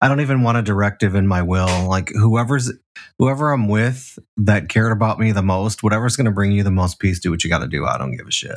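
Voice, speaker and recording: A man with an American accent speaks at a very fast pace in a fairly low pitch, with ordinary pitch variation, on a very clean recording with a silent background. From Chicago, South Side. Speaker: podcast host. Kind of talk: casual chat.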